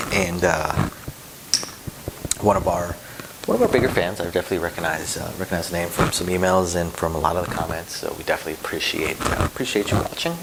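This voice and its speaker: A soft-spoken man with a very deep, low pitch talks at a very fast pace. His intonation is fairly even, and there is noticeable background noise. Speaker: casino dealer and craps channel host. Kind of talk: casual tutorial vlog. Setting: at home, son sleeping upstairs. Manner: soft-spoken, keeping voice low.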